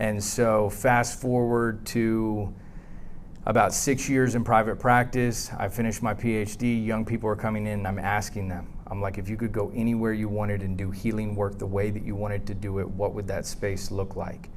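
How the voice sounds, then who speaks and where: Audible room echo surrounds speech delivered with monotone, flat intonation. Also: man, fairly low pitch for a man, moderate pace. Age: 40s. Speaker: psychologist and therapist. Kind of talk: conference presentation. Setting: conference room with audience, using a tethered mic.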